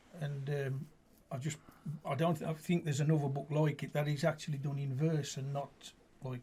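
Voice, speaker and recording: Somewhat breathy and fairly high-pitched, a man talks in a flat monotone with a dark, mellow tone, a fairly quick pace and long, frequent pauses. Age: 60s. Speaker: amateur poet and football supporter. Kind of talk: radio interview. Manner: casual, hesitant with fillers.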